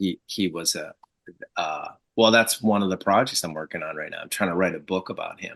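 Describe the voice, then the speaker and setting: A man's plain, everyday voice with an American accent, fairly low in pitch and fairly quick in pace, with ordinary pitch variation and big swings in loudness. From Michigan, US. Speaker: marketing agency founder, community group organizer. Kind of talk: casual interview chat.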